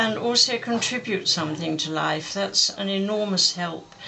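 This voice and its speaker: Amid audible room echo and noticeable background noise, a woman with an English accent speaks fairly slowly at a medium pitch. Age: 90s. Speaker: war veteran. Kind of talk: interview testimony.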